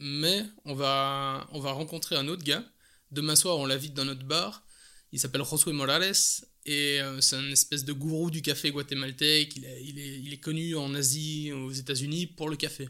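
A man with a Belgian accent speaks at a moderate pace with fairly even intonation and a fairly high pitch. His tone is bright and sharp, and the recording is very clean with a silent background. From Belgium. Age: 30s. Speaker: coffee importer. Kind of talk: casual interview. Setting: at home.

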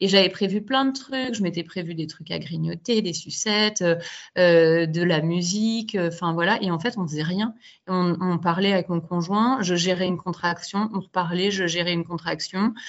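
This woman has a fairly low pitch with ordinary pitch variation. She talks at a moderate pace. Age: 30s. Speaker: primary school teacher and mother telling her birth story. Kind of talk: interview testimony. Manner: hesitant with many fillers.

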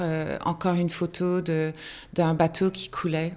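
With a fairly low pitch, a woman speaks in a monotone, flat intonation. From Argentina and many countries. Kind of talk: interview. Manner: halting.

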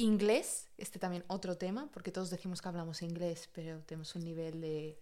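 Speaking at a fairly quick pace with hardly any pauses, a woman has a dark, mellow tone. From Spain. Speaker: podcast co-host. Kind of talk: casual chat.

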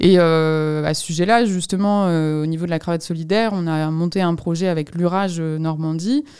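A woman speaks with a dark, mellow tone at a fairly low pitch. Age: 20s. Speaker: nonprofit director. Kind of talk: interview. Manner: hesitant, many fillers.

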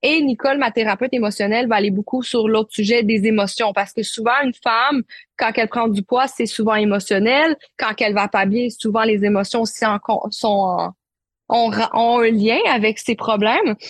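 In a Quebec accent, a woman talks at a moderate pace in a fairly high pitch with fairly even intonation and very even loudness, in a dry, close sound with no echo against a quiet background. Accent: Québécois. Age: 20s. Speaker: naturopath and life coach. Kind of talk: interview testimony.

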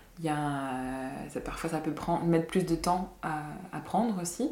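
A woman speaks at a fairly slow pace with a very deep, low pitch. Audible room echo surrounds her voice. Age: 30s. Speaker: massage therapist and singer. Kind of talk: casual interview. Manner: halting.

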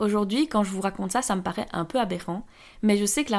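A woman's plain, everyday voice, medium in pitch and fairly quick in pace, on a very clean recording with a silent background. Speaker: podcast host and former entrepreneur. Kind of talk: personal monologue.

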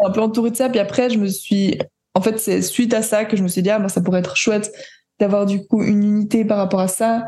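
A woman talks at a fairly quick pace with a fairly high pitch and a dark, mellow tone. Her voice is somewhat breathy, with monotone, flat intonation and very even loudness. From Switzerland. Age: 20s. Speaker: jazz pianist and composer. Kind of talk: interview. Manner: hesitant, many fillers.

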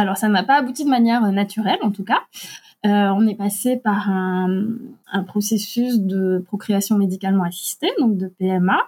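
At a fairly slow pace, a woman talks in a medium pitch with fairly even intonation and a somewhat breathy sound. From Alsace, France. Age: 40s. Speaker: adoptive mother and writer. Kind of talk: personal testimony interview. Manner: hesitant, frequent fillers.

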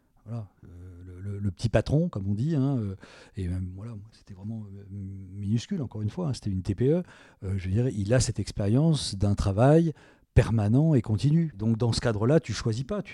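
A man with a fairly low pitch and a dark, mellow, somewhat breathy tone speaks at a moderate pace with lively intonation and big swings in loudness, on a very clean recording with a silent background. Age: 60s. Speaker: self-employed communications professional, interviewee's father. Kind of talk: personal interview. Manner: halting, many repetitions and fillers.

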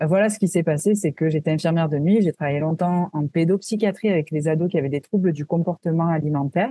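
A woman's fairly low voice, dark and mellow in tone and somewhat breathy, in a dry, close sound with no echo. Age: 30s. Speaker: wellness entrepreneur, former nurse. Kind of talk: interview.

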